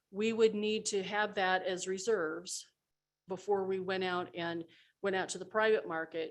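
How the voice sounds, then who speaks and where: A woman talks at a moderate pace and a medium pitch, her intonation monotone and flat. The background is quiet. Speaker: city finance official. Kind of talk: budget presentation. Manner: halting, many fillers.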